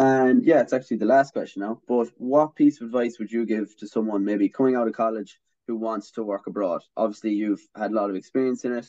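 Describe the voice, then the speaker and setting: Speaking in an Irish accent, a man has a dark, mellow tone and fairly even intonation. He leaves hardly any pauses. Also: medium pitch for a man, fairly quick pace, dry, close sound with no echo. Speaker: student podcast host. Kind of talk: casual interview. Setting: video call.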